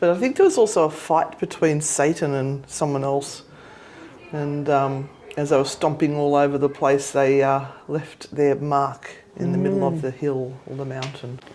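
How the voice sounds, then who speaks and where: Very deep, low female voice at a moderate pace, fairly even in intonation, against noticeable background noise. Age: old. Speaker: ghost hunter. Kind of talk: casual talk to camera.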